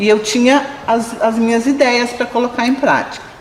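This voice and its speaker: Fairly high-pitched speech from a woman, with audible room echo and noticeable background noise. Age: 50s. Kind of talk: interview testimony.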